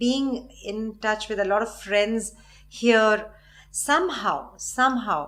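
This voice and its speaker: With a Tamil accent, a woman speaks very slowly in a fairly high pitch with ordinary pitch variation. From South India, Chennai. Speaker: classical dancer. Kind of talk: talk show interview.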